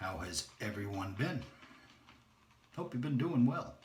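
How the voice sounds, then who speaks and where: Over noticeable background noise and audible room echo, a man speaks at a moderate pace with a medium-pitched voice. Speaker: shaving video creator. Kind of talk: casual tutorial. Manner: quiet while concentrating.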